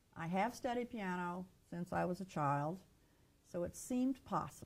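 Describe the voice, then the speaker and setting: With a normal speaking voice, a woman talks at a moderate pace in a fairly low pitch with lively intonation. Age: 60s. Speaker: clinical social worker and author. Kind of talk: interview.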